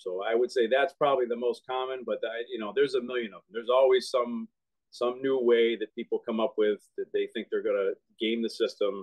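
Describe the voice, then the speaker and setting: A man with an American accent talks at a fairly quick pace, his loudness swinging widely over a quiet background. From Boston. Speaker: union representative. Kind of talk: interview. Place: home room. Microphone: phone near.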